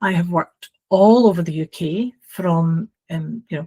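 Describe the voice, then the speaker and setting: Speaking very slowly with a Glasgow accent, a woman of medium pitch sounds somewhat breathy, with a dry, close sound and no echo. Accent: Scottish (Glasgow). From Scotland, Glasgow. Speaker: housing training consultant. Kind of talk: podcast interview. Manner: hesitant fillers.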